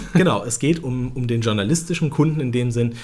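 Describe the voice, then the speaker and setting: A man speaks at medium pitch. Vocal fry runs through his voice. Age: 30s. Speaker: automotive press spokesperson. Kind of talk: casual interview.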